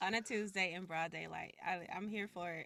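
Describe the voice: A woman's fairly low voice with vocal fry and a bright, sharp tone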